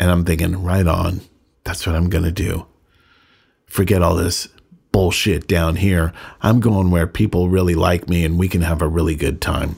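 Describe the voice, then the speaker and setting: Long, frequent pauses break up this moderate-paced speech in an American accent. The voice is somewhat breathy, with monotone, flat intonation. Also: man, very deep, low pitch for a man. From Northern California. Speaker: podcast host, recovering addict. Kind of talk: personal storytelling monologue.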